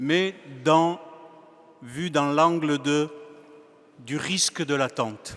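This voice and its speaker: A man with a fairly high voice speaks at a very slow pace, with ordinary pitch variation and long, frequent pauses. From Spain, Andalusia. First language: Spanish (speaking Romanian). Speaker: preacher. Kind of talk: sermon.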